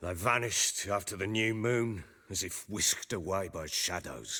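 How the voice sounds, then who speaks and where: A man does a raspy, put-on character voice at a fairly low pitch, captured on a very clean recording with a silent background. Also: moderate pace, ordinary pitch variation. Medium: video game. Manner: gruff, blunt.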